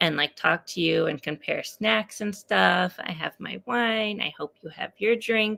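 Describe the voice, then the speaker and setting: A soft-spoken woman, bright and sharp in tone, with vocal fry, lively intonation and a moderate pace. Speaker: author and poet. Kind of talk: casual chat. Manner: quiet, talking softly.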